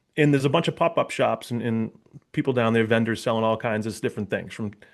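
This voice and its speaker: A man with a Boston accent talks against a quiet background. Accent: Boston area. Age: 40s. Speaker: police officer and public speaker. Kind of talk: interview conversation. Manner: casual, with many fillers and repetitions.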